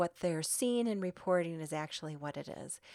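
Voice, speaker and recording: In a very clean recording with a silent background, a woman with an American accent speaks in an unremarkable speaking voice at a moderate pace, with ordinary pitch variation. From US Midwest. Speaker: lawyer and podcast host. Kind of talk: solo podcast monologue.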